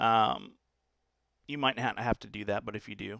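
Bright and sharp in tone, a man's voice comes through on a very clean recording with a silent background. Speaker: tech tutorial presenter. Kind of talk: screen-recorded software tutorial. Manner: casual, many fillers (uh, um); slight stutter today.

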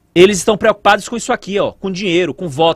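The man's pitch is high. The sound is dry with no echo, and the background is quiet. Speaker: news commentator. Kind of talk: angry rant, indignant political commentary on a news story. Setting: studio. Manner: indignant, sarcastic, emphatic; repetitive, pounding rhetorical questions, fiery. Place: studio. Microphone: studio mic.

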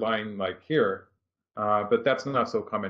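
With a quiet background behind it, the voice proceeds at a moderate pace. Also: man. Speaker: professional go player. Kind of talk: game commentary. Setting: live stream. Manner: halting. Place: home room.

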